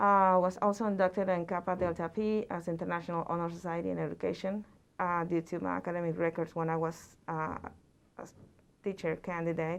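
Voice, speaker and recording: A woman's fairly low voice, fairly quick and with fairly even intonation, against a quiet background. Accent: Mexican. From central Mexico. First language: Spanish. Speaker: college Spanish instructor. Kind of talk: presentation talk. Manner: halting, many fillers.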